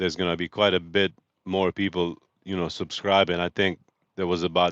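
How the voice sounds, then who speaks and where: Recorded dry and close with no echo against a quiet background, a man speaks at a very deep, low pitch with a slight Bosnian accent. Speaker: truck driver and live streamer. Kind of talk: casual live stream chat. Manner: animated.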